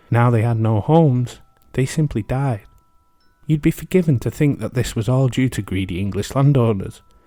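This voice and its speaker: The speaker goes at a moderate pace with ordinary pitch variation while music plays in the background. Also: man. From England. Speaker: history podcast host. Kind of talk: casual reflective commentary; podcast narration.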